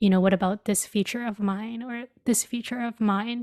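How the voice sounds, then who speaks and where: The recording is very clean, with a silent background. A woman talks in a dark, mellow tone with fairly even intonation. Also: dry, close sound with no echo. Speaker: podcast guest. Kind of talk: casual chat.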